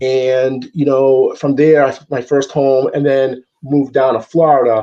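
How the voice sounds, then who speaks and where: A man with an American accent talks at a fairly slow pace in a medium pitch. His tone is dark and mellow, and his intonation is monotone and flat. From Massachusetts. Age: 40s. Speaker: football fan guest, real estate investor. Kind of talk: casual chat. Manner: halting, many fillers and repeats.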